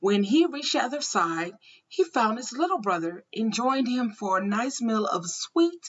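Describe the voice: Plain reading aloud, nothing more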